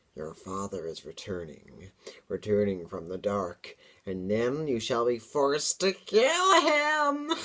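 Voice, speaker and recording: A man puts on a character voice at medium pitch, with hissing. He speaks at a fairly slow pace. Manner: menacing.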